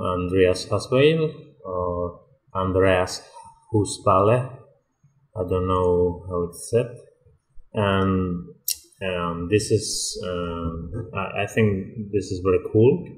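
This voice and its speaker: Very slow, very deep, low male voice with a Spanish accent, somewhat breathy, with ordinary pitch variation and long, frequent pauses. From Spain. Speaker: 3D environment artist. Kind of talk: tutorial. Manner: halting, many fillers.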